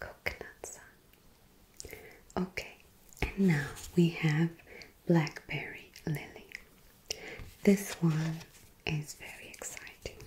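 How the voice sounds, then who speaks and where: A woman whispers very slowly with long, frequent pauses and big swings in loudness. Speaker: perfume reviewer. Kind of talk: soft-spoken product review. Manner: soft, hushed ASMR speaking voice.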